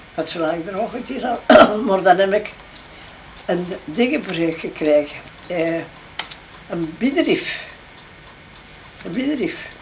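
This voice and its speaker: A woman speaks at a very slow pace with long, frequent pauses. Her pitch swings very widely over light background noise. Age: 80s+. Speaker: grandmother. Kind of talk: casual conversation. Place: home room. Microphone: old recording.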